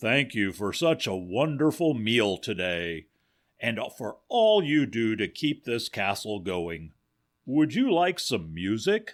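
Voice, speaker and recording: The put-on character voice moves at a fairly slow pace on a very clean recording with a silent background. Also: man, medium pitch for a man. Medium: read story. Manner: hearty, good-natured.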